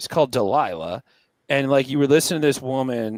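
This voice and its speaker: A man with an American accent, animated in tone, at a moderate pace, dry and close with no echo on a very clean recording with a silent background. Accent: California, sometimes heard as Pittsburgh. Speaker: touring performer, podcast guest. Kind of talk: casual chat.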